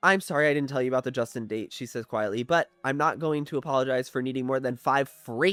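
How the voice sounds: Here someone reads in a natural voice.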